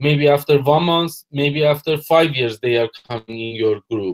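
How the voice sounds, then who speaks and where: Music plays in the background as a man with a non-native accent speaks with ordinary pitch variation. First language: not English. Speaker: network marketer presenter. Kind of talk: webinar presentation.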